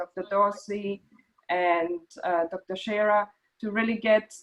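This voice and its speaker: Speaking at a very slow pace with a slight German accent, a woman keeps a medium pitch and fairly even intonation. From Germany. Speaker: meeting host, Parkinson's advocate. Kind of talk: online meeting introduction. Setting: video call. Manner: halting.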